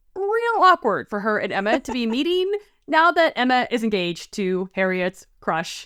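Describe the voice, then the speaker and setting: A woman talks at a moderate pace with very wide pitch swings, in a dry, close sound with no echo. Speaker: podcast co-host. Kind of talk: casual podcast talk.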